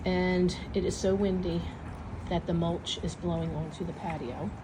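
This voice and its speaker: A woman speaks at a fairly slow pace with a medium pitch and ordinary pitch variation. Audible room echo is present. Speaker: vlogger. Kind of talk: casual vlog. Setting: outdoors on patio. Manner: whispering.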